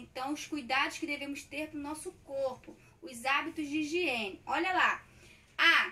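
A woman's raised, projected voice, high-pitched and warm in tone, at a fairly slow pace. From Brazil. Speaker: primary school teacher. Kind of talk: online class for young children. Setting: recorded lesson at a whiteboard. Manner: warm, affectionate teacher tone. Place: home room. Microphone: phone near.

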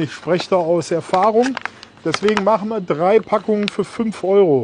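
A man talks at a fairly slow pace with ordinary pitch variation. The sound is dry with no echo, but there is noticeable background noise. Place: shop.

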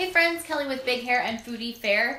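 Light background noise and audible room echo surround the recording. A woman talks at a fairly quick pace. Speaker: lifestyle blogger. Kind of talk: casual vlog chat.

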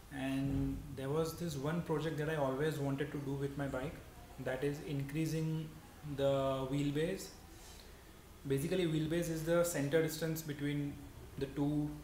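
Monotone, flat speech at a moderate pace with long, frequent pauses, audible room echo and light background noise. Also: man. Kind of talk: casual vlog chat. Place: garage. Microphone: camera far.

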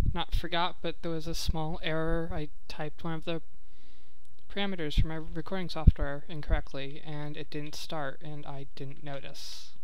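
Noticeable background noise runs through the clip. The speech moves at a fairly slow pace. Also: dry sound with no echo. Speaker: video game let's player. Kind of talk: casual gameplay commentary. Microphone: headset.

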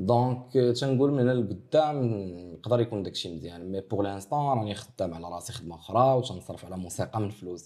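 Over a quiet background, a man with a dark, mellow tone and fairly low pitch talks at a fairly quick pace, his intonation lively and his loudness swinging widely. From Morocco. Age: 20s. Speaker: rapper; interviewee. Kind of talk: interview. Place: office.

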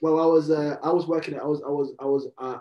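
With a London accent, a man is talking. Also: quiet background. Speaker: rapper. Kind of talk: interview. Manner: halting. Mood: relaxed, friendly. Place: home room. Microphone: video call.

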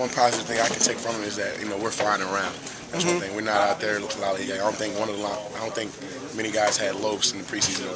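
Loud background noise surrounds a man who talks at a very fast pace. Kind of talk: interview answer. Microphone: phone near.

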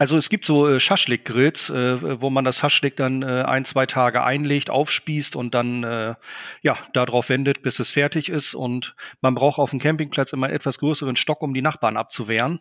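A man speaks at a moderate pace. His medium-pitched voice has fairly even intonation. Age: 40s. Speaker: barbecue blogger and cookbook author. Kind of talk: casual interview. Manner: hesitant, many filler sounds.

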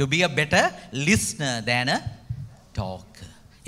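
An unforced reading voice showing ordinary pitch variation

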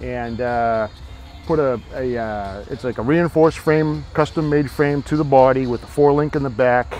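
Faint music plays in the background as a man speaks. His pace is moderate and the sound is dry with no echo. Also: ordinary pitch variation. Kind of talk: interview answer. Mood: relaxed, proud. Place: open country.

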